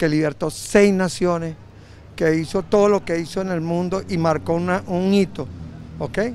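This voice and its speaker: Against light background noise, a man with a high pitch speaks with fairly even intonation, the sound dry with no echo. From Venezuela. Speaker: citizen interviewed on the street. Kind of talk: street interview. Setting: outdoors on the street. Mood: earnest, patriotic. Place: street. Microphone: handheld.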